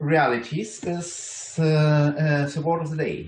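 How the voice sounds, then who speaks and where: A man speaks with a strong German accent. His voice sits at a fairly high pitch. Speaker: university lecturer. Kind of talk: conference talk. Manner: halting, many fillers and restarts.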